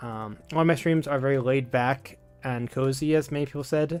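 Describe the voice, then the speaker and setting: Over background music, a man with a fairly high pitch talks at a moderate pace with fairly even intonation. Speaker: streamer. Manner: laid back, cozy.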